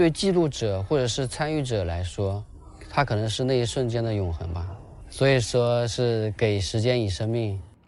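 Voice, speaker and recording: Here is a man with a normal speaking voice at a medium pitch. He keeps a moderate pace with lively intonation. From rural Quzhou, Zhejiang. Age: 30s. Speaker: primary school PE teacher. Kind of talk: interview. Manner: casual, with fillers.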